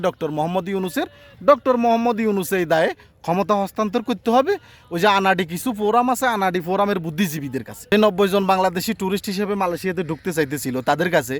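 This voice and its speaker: A man with a high voice talks in an animated tone, his pitch varying in an ordinary way. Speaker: YouTube commentator. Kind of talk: opinion monologue.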